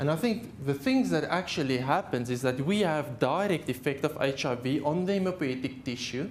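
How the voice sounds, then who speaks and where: A fairly high male voice, fairly quick, with lively intonation and audible room echo. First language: Afrikaans. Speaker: haematologist. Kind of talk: lecture. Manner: halting.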